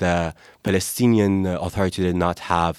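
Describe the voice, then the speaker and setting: The recording is very clean with a silent background and a dry, close sound with no echo, carrying a man's very deep, low pitch. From Gaza, Palestine. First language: Arabic (speaking French). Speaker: Palestinian activist. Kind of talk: interview.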